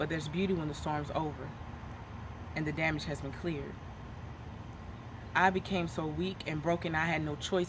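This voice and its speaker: A woman speaks at a fairly quick pace in a very deep, low voice with vocal fry and fairly even intonation, broken by long, frequent pauses. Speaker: spoken word poet. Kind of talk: spoken word poetry performance.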